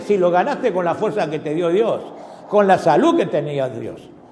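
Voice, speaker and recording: A man at a fairly slow pace with lively intonation, in audible room echo and noticeable background noise. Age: 70s. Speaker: pastor. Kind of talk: sermon.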